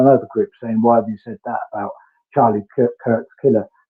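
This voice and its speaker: This man talks at a very fast pace with a British accent. His pitch is medium. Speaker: true crime streamer. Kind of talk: live stream chat. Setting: garden room, online call. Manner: careful, diplomatic. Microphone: connection fading and freezing, on mobile data.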